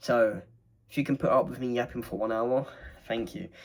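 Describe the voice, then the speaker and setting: A man speaks with an English accent at a medium pitch. His pitch varies in an ordinary way. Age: 20s. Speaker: vlogger. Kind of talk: casual monologue. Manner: fast.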